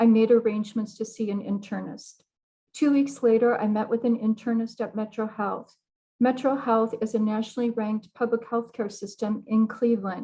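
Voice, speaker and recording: A woman's fairly high-pitched, somewhat breathy voice with a dark, mellow tone and monotone, flat intonation. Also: moderate pace. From US Midwest, South Bend, Indiana. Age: 60s. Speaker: cancer patient. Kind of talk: testimony. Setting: video call. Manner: formal.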